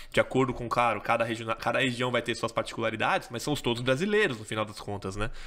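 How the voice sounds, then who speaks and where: A man with a Brazilian accent, bright and sharp in tone, at a very fast pace with hardly any pauses and ordinary pitch variation. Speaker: podcast host, company CEO; podcast host. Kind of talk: podcast interview. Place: studio. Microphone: studio mic.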